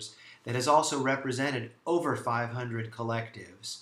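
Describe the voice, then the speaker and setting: A man's medium-pitched voice is heard with audible room echo and noticeable background noise. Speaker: lawyer. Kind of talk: promotional talk. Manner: fast; animated.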